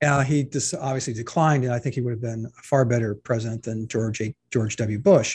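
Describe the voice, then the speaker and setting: A man at a medium pitch, somewhat breathy, at a fairly quick pace with hardly any pauses and ordinary pitch variation, against a quiet background. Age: 60s. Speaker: editorial cartoonist. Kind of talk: casual interview conversation.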